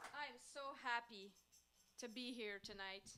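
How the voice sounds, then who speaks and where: A woman speaks at a high pitch with ordinary variation. Her tone is bright and sharp. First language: French. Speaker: folk-pop singer-songwriter. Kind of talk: stage banter between songs. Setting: house concert with audience. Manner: casual, chatty.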